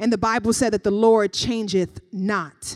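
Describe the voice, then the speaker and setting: Recorded very cleanly against a silent background, with a dry, close sound and no echo, the voice moves at a fairly slow pace. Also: woman. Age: 30s. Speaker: pastor. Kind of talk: sermon.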